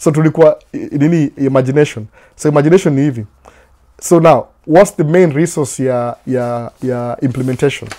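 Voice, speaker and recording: Fairly quick and fairly high-pitched, a man's voice has a dark, mellow tone and ordinary pitch variation. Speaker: vlogger. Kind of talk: motivational talk. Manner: loud, yelling; code-switching English and Swahili.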